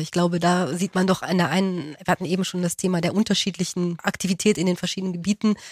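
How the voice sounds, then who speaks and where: A woman speaks at a very fast pace. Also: dry, close sound with no echo. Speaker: podcast host. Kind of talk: casual chat.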